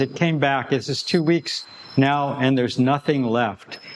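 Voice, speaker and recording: A man talks at a fairly slow pace amid noticeable background noise. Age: 70s. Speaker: qigong teacher. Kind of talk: casual talk to camera. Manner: halting, with repetitions.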